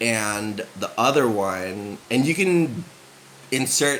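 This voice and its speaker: The speaker has a West Coast US accent and lively intonation at a very slow pace. Noticeable background noise runs underneath. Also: man. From San Francisco, US. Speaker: vlogger. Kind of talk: casual chat. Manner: subdued.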